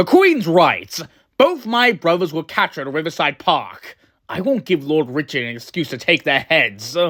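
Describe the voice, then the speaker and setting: Putting on a character voice, a man talks in a fairly high pitch with very wide pitch swings, on a very clean recording with a silent background. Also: moderate pace. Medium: audio drama. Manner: arrogant, touchy.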